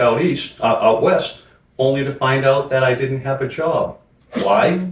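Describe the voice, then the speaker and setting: A man's fairly high, somewhat breathy voice moves at a fairly slow pace with ordinary pitch variation. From Boston, Massachusetts. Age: 60s. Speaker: junk removal business owner. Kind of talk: interview.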